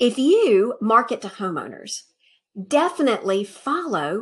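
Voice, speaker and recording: With an American accent, a woman talks at a moderate pace, her pitch swinging very widely, in a very clean recording with a silent background. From Alabama, US South (Montgomery). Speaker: podcast host. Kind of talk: video monologue recommending contacts. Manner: upbeat, casual.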